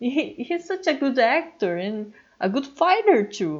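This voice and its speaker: A woman speaks very slowly in a strong Brazilian accent, her pitch high. Her voice swings very widely up and down. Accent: heavy Brazilian Portuguese. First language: Portuguese. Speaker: YouTuber and comic artist. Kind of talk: casual voiceover monologue. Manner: animated, stammering when excited.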